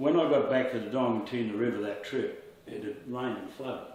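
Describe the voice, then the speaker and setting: A man with an Australian accent talks at a fairly quick pace in a medium pitch with fairly even intonation. Noticeable background noise and audible room echo surround him. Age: 60s. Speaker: opal miner. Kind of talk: casual interview storytelling.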